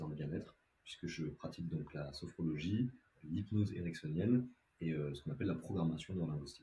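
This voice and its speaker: Somewhat breathy and dark, mellow in tone, a man speaks at a very deep, low pitch and a fairly quick pace. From southern France (Montauban). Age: 20s. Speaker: sophrologist and hypnotherapist. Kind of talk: podcast interview. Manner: hesitant, many fillers.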